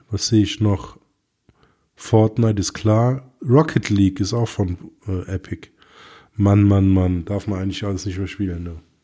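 Pitched fairly low, a man talks at a moderate pace with a dark, mellow tone and fairly even intonation, leaving long, frequent pauses on a very clean recording with a silent background. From Germany. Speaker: tech podcast co-host. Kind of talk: casual chat.

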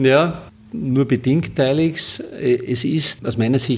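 A man speaks at a very slow pace with a medium pitch. His pitch varies in an ordinary way, and there is noticeable background noise. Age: 40s. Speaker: construction company CEO. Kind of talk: interview. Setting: office. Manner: halting.

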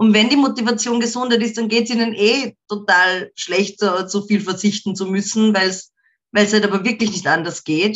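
An unremarkable speaking voice from a woman at medium pitch, with fairly even intonation and a moderate pace. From Austria, market town. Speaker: rock musician. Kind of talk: interview.

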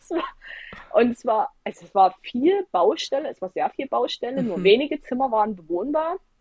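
Animated in tone, a woman speaks at a high pitch and a moderate pace, her pitch swinging very widely. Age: 20s. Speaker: travel blogger and former nurse. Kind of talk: interview.

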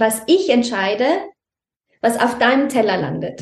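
Audible room echo on a woman's voice, high in pitch. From Austria, Tyrol near Innsbruck. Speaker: mother in a multilingual family. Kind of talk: interview conversation.

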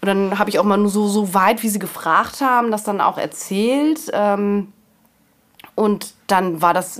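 At a fairly slow pace, a woman talks in an ordinary speaking voice at a medium pitch. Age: 40s. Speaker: mother in a patchwork family. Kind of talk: interview.

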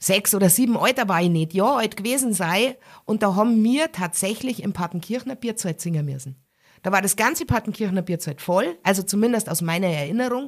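A woman's medium-pitched voice with a strong Bavarian accent, lively intonation and a fairly quick pace, on a very clean recording with a silent background. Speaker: musician and cabaret artist. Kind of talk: casual interview.

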